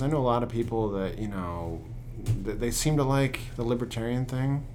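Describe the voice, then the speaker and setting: A man talks at a very fast pace and a medium pitch. Music plays in the background, and room echo is audible. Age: 30s. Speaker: podcast host. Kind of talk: podcast intro monologue; interview conversation. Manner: hesitant with many fillers.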